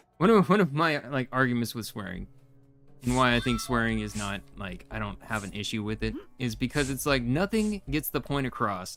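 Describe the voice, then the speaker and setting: Over music in the background, a man with a medium pitch speaks at a moderate pace using lively intonation. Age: 40s. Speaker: gaming streamer. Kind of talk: live gameplay stream chat. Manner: rambling, halting with false starts.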